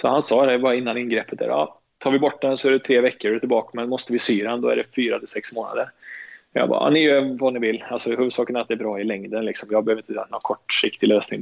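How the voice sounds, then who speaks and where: Here a man talks at a very fast pace. His pitch is medium and his intonation fairly even. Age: 30s. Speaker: professional footballer. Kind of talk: casual interview. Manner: halting, many repetitions.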